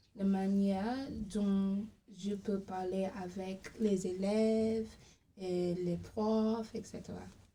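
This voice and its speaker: A woman's monotone, flat delivery at a very slow pace, with audible room echo. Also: medium pitch for a woman. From Barbados. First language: English (speaking French). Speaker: language assistant. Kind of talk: interview. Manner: halting.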